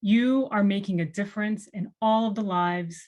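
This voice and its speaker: Somewhat breathy, a woman talks at a medium pitch and a moderate pace, with ordinary pitch variation against a quiet background. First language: Spanish. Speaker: nonprofit executive director. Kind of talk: welcome speech. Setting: virtual event.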